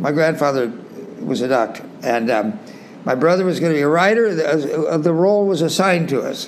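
A male speaker with a fairly high pitch and lively intonation talks fairly quickly amid noticeable background noise. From California, US West Coast. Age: 90s. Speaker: retreat center co-founder and author. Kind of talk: interview. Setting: video call.

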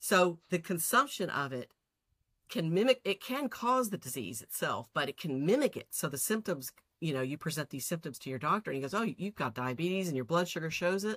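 In a Texan accent, a woman with a fairly low pitch talks at a fairly quick pace with very wide pitch swings, the sound dry and close with no echo. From Texas, city. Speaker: guest, host's cousin. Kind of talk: casual chat.

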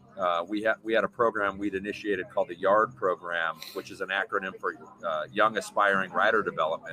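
There is noticeable background noise. Over it, a man goes at a fairly quick pace. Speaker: mountain bike coach and former pro rider. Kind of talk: casual interview chat. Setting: live stream with chat.

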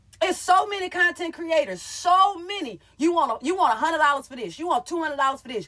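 A woman talks in an extremely high, raised and projected voice with an animated tone and lively intonation, her loudness swinging widely. She races along at a very fast pace with hardly any pauses. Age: 30s. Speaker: comedian and content creator. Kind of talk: casual monologue on live stream. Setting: live stream.

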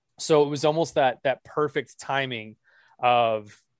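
A man with an American accent has an unremarkable speaking voice, medium in pitch with fairly even intonation. He talks at a fairly slow pace in a dry, close sound with no echo. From Texas (Dallas). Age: 30s. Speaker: hockey writer and podcaster. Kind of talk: casual chat.

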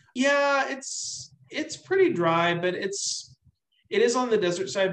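A man talks with an American accent. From US, army brat. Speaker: army veteran and novelist. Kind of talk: casual interview chat.

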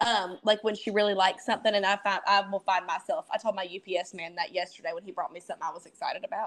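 A woman speaks very fast in a strong Southern US accent, with hardly any pauses and big swings in loudness. Her pitch is medium, with ordinary variation. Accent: thick Southern US. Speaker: epilepsy advocate. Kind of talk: casual chat.

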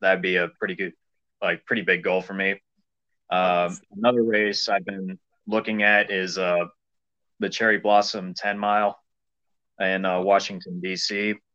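This man has a very deep, low pitch and a bright, sharp tone, with an American accent. He talks at a moderate pace with monotone, flat intonation. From US Midwest, small-town western Illinois. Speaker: distance runner. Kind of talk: interview.

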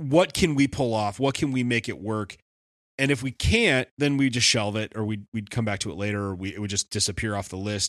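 A man with an Upper Midwest accent at a fairly quick pace, lively intonation, and a very clean recording with a silent background. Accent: Upper Midwest American. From Wisconsin. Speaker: cover band musician. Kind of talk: casual chat.

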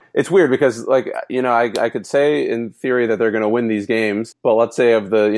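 A plain, everyday voice from a man, medium in pitch with ordinary pitch variation, at a fairly quick pace in a very clean recording with a silent background. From Texas. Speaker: sports blog editor. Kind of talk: casual chat.

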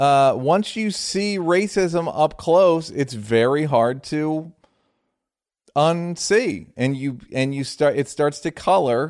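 A man's fairly high voice carries lively intonation. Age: 40s. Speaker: podcast host. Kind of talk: casual chat. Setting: remote call.

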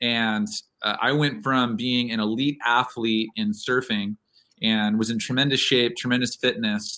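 A man speaks at a fairly slow pace in an unremarkable speaking voice. His pitch is medium, with ordinary variation and very even loudness. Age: 40s. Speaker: triathlete, coach and pastor. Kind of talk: interview conversation.

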